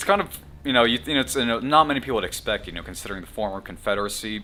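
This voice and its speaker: Speaking at a very fast pace with lively intonation, a man with an American accent is heard over noticeable background noise. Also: medium pitch for a man. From US South, Atlanta, Georgia. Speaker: podcast host. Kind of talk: casual chat.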